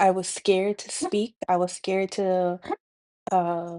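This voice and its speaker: In a Dominican accent, a woman talks at a fairly slow pace and medium pitch, her tone dark and mellow and her intonation monotone and flat. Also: quiet background. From Dominican Republic. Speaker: spiritual healing vlogger. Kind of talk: personal testimony monologue. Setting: speaking to camera. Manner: halting, many fillers.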